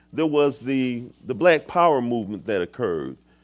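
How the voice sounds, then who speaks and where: Speaking at a fairly quick pace, a man with an American accent uses a plain, everyday voice, a fairly high pitch and lively intonation. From Michigan, US. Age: 50s. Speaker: guest pastor. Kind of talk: sermon. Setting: church.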